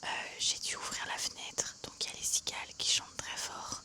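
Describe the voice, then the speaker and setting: Over noticeable background noise, a woman whispers in a relaxed tone. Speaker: ASMR creator. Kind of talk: ASMR unboxing, casual talk to camera. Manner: soft-spoken, chatty, relaxed.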